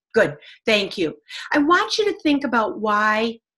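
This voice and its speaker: Energetic in tone, a woman speaks at a fairly high pitch. Her pitch swings very widely. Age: 70s. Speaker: business coach. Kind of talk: webinar talk to business owners.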